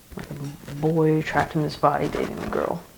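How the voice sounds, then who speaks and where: Music in the background behind a man's fairly high-pitched voice, moderate in pace. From Virginia, Mechanicsville near Richmond. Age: 20s. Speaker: documentary interviewee. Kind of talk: interview testimony. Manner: casual, hesitant with fillers.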